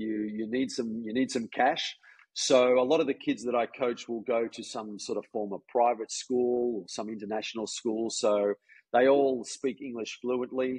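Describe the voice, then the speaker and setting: Here a man speaks with an Australian accent. His pace is moderate and his intonation fairly even. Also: medium pitch for a man. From Australia, Melbourne. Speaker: golf coach. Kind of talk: casual chat. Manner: halting.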